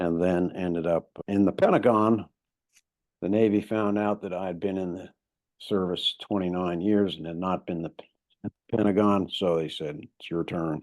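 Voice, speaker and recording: Here a man speaks at a moderate pace in a very deep, low pitch. His intonation is fairly even. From moved abroad often; high school in Connecticut. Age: 60s. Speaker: retired navy officer and outdoor adventurer. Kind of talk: podcast interview.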